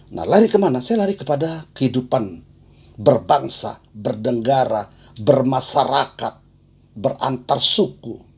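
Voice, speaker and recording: A man's somewhat breathy voice at a fairly slow pace, with very wide pitch swings. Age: 60s. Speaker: poet. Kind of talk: talk on own creative process. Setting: video call. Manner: halting.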